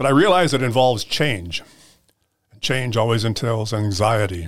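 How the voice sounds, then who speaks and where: On a very clean recording with a silent background, a man speaks at a moderate pace in a fairly low, somewhat breathy voice. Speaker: school board president, retired educator. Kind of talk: interview, conversational.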